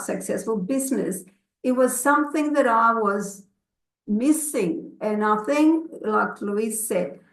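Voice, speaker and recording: This woman's intonation is lively. She talks very slowly. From grew up abroad, moved to Australia as a child. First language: not English. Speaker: network marketing consultant. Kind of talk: personal testimony in an online session. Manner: halting, many fillers.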